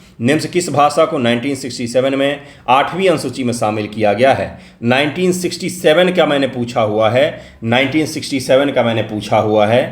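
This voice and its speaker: There is audible room echo as a man speaks at a moderate pace and medium pitch with ordinary pitch variation. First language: Maithili (speaking Hindi). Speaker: exam coaching teacher. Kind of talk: test solution lecture.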